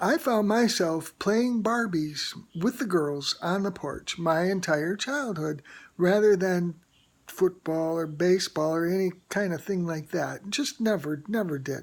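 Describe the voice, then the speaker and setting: A woman with a normal speaking voice talks at a fairly slow pace, her medium pitch carried by lively intonation. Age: 60s. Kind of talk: personal testimony to camera. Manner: casual, chatty.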